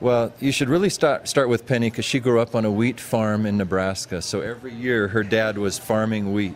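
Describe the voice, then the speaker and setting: A man talks at a moderate pace with hardly any pauses. He has an ordinary speaking voice, medium pitch and ordinary pitch variation. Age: 60s. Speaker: bakery owner. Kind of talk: interview.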